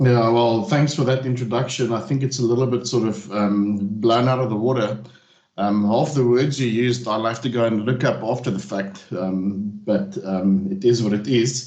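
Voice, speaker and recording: With a South African accent, a man speaks at a medium pitch and moderate pace amid audible room echo. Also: ordinary pitch variation. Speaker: technical trainer. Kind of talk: technical webinar presentation. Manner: hesitant, many fillers.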